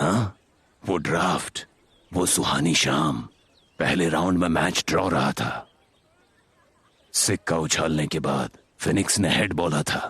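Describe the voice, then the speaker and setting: In a put-on character voice, a man speaks at a fairly slow pace with a very deep, low pitch, very even loudness and long, frequent pauses. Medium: fan dub. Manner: gentle, reminiscing.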